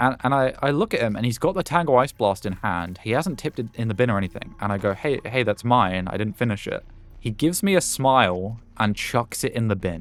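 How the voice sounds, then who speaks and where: A man with a British accent and lively intonation at a fairly quick pace, music in the background. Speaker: gaming YouTuber. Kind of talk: gameplay commentary with casual storytelling. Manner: casual, hesitant with many fillers.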